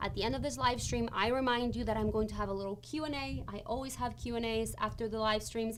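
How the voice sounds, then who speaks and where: A woman talks at a fairly quick pace, and the room echo is audible. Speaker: college financial aid advisor. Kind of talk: live stream tutorial. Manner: fast.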